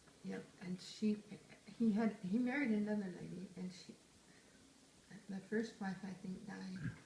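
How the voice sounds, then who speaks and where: A woman with a dark, mellow, medium-pitched voice and vocal fry speaks at a fairly slow pace with fairly even intonation, big swings in loudness and long, frequent pauses. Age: 70s. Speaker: retired grandmother interviewed by family. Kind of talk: casual family interview.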